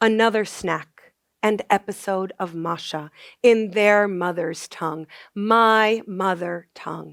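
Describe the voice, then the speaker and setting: In a very clean recording with a silent background, a woman with an American accent speaks very slowly at a medium pitch and fairly even intonation. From US, Maryland suburbs of DC. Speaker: poet. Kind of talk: poetry reading.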